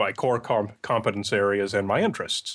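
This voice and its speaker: A man uses a normal speaking voice at medium pitch. He talks at a fairly quick pace. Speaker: podcast creator and science skeptic. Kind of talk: casual interview.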